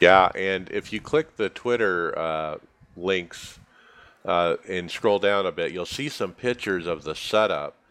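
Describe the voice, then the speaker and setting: In an unremarkable speaking voice, a man talks at a fairly slow pace with a fairly low pitch and ordinary pitch variation. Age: 40s. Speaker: podcast host. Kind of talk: casual chat.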